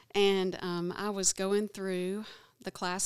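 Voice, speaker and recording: A woman with an Alabama accent speaks at medium pitch in a dry, close sound with no echo, on a very clean recording with a silent background. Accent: Alabama Southern. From Alabama, small town. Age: 50s. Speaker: abortion recovery class facilitator. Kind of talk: testimony.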